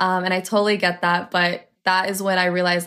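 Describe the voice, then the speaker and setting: A woman's medium-pitched, monotone, flat delivery at a moderate pace, in a Canadian accent. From Ontario, Canada (Toronto area). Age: 20s. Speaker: social media influencer. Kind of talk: interview storytelling.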